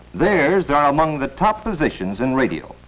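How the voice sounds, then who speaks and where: A man talks with very wide pitch swings at a moderate pace while noticeable background noise plays behind him. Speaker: film narrator. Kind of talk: educational film narration.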